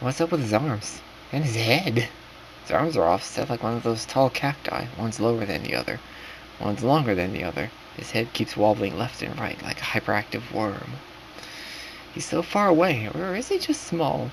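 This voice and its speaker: A man's medium-pitched voice moves at a moderate pace with very wide pitch swings over noticeable background noise. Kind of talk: narrated horror story in second person, casual read-aloud. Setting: late-night home recording, rough quality.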